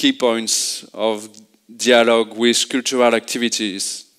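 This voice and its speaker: On a very clean recording with a silent background, a man speaks with a French accent. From France. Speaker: urban planning consultant. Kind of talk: conference presentation. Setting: stage with audience. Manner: halting.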